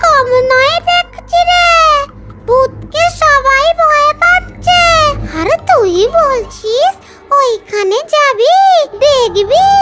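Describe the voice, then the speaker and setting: In a cartoonish character voice, a woman squeaks at an extremely high pitch with very wide pitch swings and a very slow pace. Clear music plays in the background. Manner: warm, affectionate.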